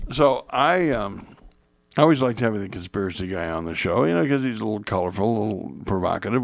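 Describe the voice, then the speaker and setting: A man with an American accent, fairly quick in pace and lively in intonation, on a very clean recording with a silent background. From Indiana, US Midwest. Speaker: radio talk show host. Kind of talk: talk radio conversation.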